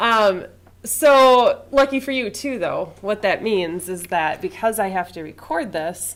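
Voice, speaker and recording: Loud and at a fairly slow pace, a woman speaks with a fairly high pitch and very wide pitch swings. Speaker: college instructor. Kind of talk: classroom lecture. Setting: classroom.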